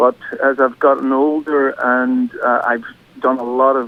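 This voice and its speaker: Medium-pitched male voice with a Northern Irish accent over noticeable background noise. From Northern Ireland, County Derry. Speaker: singer-songwriter. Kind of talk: radio interview. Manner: halting.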